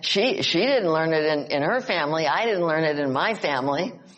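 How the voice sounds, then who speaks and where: A woman with an American accent at a fairly quick pace, with very wide pitch swings, audible room echo and noticeable background noise. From Upstate New York. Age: 80s+. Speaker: psychologist and author. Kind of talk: casual chat. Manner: halting.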